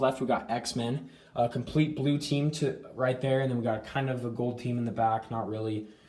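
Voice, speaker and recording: The speaker moves at a fairly quick pace with ordinary pitch variation, against noticeable background noise. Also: man. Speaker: action figure collector YouTuber. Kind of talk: casual collection tour. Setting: home room / closet. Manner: fast. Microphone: filming on iPad, poor quality.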